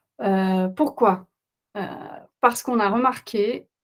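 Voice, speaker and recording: A woman speaks with a Flemish accent. Her pitch varies in an ordinary way. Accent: Dutch-speaking Flemish accent in French. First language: Dutch (speaking French). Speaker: parenting coach. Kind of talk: webinar presentation. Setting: online webinar. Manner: halting, many hesitations.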